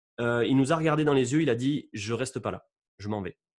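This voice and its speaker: A man at a moderate pace, lively in intonation, against a quiet background. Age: 30s. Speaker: YouTuber on electromagnetic waves. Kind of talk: interview with screen-shared presentation. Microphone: studio mic.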